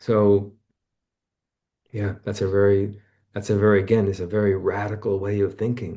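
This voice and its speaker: A man speaks quietly at a moderate pace, his voice somewhat breathy. His pitch is fairly low and his tone dark and mellow. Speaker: author and therapist. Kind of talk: casual chat. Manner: quiet, lower and tender.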